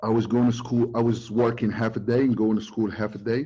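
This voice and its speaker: In a Moroccan accent, a man talks very fast in a fairly low pitch with a dark, mellow tone. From Morocco, Casablanca. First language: Moroccan Arabic. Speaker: recruiting expert presenter. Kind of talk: webinar talk. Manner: halting, many fillers; code-switching to Arabic.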